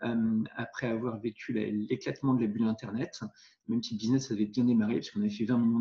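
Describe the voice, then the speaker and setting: Speaking at a very fast pace, a man delivers his words in a dark, mellow tone that is somewhat breathy. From Normandy, France. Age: 40s. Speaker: entrepreneur and investor. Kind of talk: interview. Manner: hesitant with fillers.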